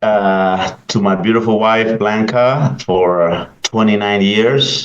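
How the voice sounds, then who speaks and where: A man with a Salvadoran accent and medium pitch at a very slow pace. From El Salvador. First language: Spanish. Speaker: pastor. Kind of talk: interview. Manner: halting, many fillers.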